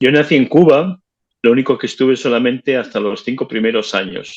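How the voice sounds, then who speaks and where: A man's medium-pitched voice with ordinary pitch variation, dry and close with no echo. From northern Spain (Bilbao, Biscay). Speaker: interviewee, La Salle alumnus. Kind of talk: interview. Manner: halting, repeated words.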